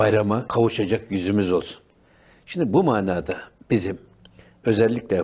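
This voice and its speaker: The man's tone is dark and mellow, at a fairly low pitch with ordinary pitch variation. He keeps a moderate pace. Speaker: religious radio host. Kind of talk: religious talk show.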